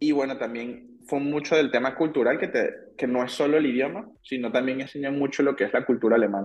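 A man talks at a medium pitch with ordinary pitch variation. He hardly pauses. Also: fairly quick pace. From Venezuela, Caracas. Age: 30s. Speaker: engineer. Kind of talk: casual interview chat. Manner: halting, many repetitions.

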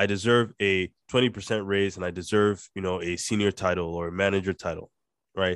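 With a dry, close sound, no echo and a quiet background, a man speaks in a very deep, low voice at a fairly quick pace with monotone, flat intonation. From Nigeria. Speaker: podcast host and company co-founder. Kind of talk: casual chat. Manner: code-switching, more Nigerian when talking with Josh.

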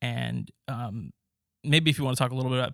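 With an American accent and an ordinary speaking voice, a man talks at a moderate pace and medium pitch, using ordinary pitch variation. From US West, Los Angeles. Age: 20s. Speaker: student podcast host. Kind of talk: interview; scripted narration.

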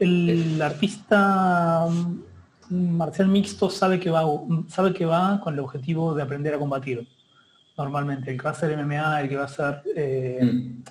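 With a normal speaking voice, a man speaks at a fairly slow pace and a fairly high pitch, showing ordinary pitch variation. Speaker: martial arts practitioner. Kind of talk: casual chat.

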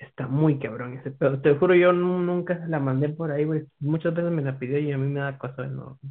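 This man talks at a fairly quick pace with hardly any pauses. His pitch is fairly high and his intonation fairly even. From Guatemala. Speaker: podcast guest. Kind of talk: casual chat.

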